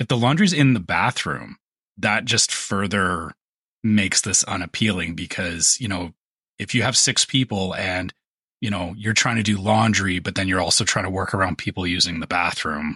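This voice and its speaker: This man's voice sits at a fairly low pitch, with a bright, sharp tone. He talks at a moderate pace. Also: ordinary pitch variation, dry, close sound with no echo. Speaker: podcast co-host. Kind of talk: casual chat.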